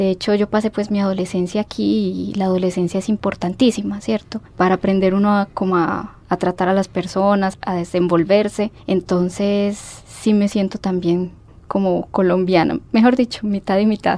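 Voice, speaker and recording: At a moderate pace and with hardly any pauses, a woman speaks at medium pitch in a dark, mellow tone, her intonation monotone and flat. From Mexico City, Mexico until 12, then Colombia (Pereira, Manizales). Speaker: historian, university alumna. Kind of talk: radio interview.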